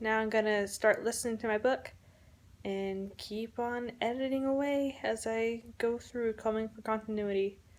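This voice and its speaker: Here a woman speaks at a fairly high pitch. Her intonation stays fairly even. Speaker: author vlogger. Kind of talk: personal vlog diary. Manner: slow.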